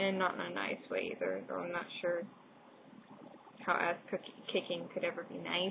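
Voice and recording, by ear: A woman speaks at a fairly low pitch with vocal fry. Her pitch swings widely at a moderate pace.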